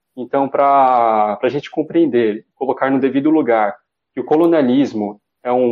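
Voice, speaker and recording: A man has a normal speaking voice, fairly high in pitch, with ordinary pitch variation and a moderate pace. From Brazil, São Paulo East Zone. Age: 30s. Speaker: philosophy student and researcher. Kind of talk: interview.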